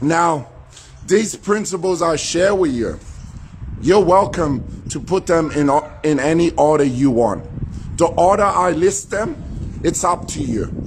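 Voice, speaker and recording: Over noticeable background noise, a man speaks with a high pitch and ordinary pitch variation. His pace is fairly slow, with long, frequent pauses. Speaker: motivational speaker. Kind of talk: motivational talk.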